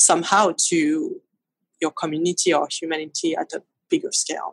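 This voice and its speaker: A speaker with a French accent talks at a moderate pace, the sound dry and close with no echo. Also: woman. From France, Paris. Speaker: photographer. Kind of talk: interview. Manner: halting.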